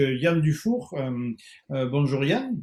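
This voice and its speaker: A man speaks with a southwestern French accent in a fairly high, somewhat breathy voice. His pace is fairly slow. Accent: southwestern French, noticeable. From southwest France. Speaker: tourism consultant, webinar moderator. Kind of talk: webinar moderation. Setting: online webinar. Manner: hesitant, many fillers.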